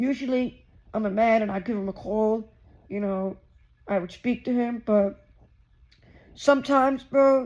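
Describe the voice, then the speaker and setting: A loud man speaks at an extremely high pitch with fairly even intonation. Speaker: YouTuber, vlogger. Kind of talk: casual vlog monologue.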